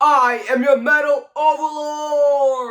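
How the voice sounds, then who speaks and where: High pitch in a put-on character voice. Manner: domineering, menacing.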